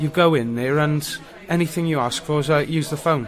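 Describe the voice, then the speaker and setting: Fairly even intonation at a moderate pace in a South Welsh accent, with noticeable background noise. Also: man. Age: 40s. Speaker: homeless man. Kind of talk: interview. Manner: halting.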